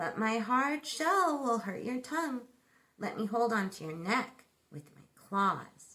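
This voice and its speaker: Using a put-on character voice, a woman speaks fairly high and at a fairly slow pace. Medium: read story.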